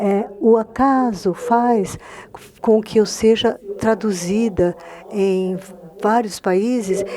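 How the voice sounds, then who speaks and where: A woman with a Spanish accent speaks at a very slow pace. Her intonation is fairly even, and noticeable background noise is present. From Argentina. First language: Spanish (speaking Portuguese). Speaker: novelist. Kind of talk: panel discussion through an interpreter.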